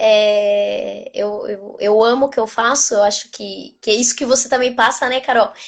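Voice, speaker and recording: A woman with an Argentine accent speaks with fairly even intonation. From Argentina. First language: Spanish (speaking Portuguese). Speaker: nutritionist. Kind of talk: casual interview, live video.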